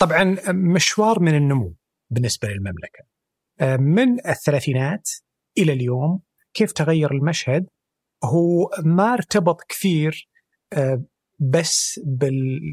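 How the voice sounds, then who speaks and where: A man with a fairly high pitch talks at a very slow pace with lively intonation. He leaves long, frequent pauses. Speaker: energy sector specialist. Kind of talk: interview.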